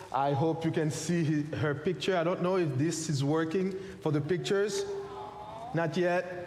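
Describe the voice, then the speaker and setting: A man at a moderate pace, fairly high in pitch, with fairly even intonation and very even loudness, amid audible room echo and noticeable background noise. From Haiti. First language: French or Haitian Creole. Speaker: pastor and missionary. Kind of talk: sermon.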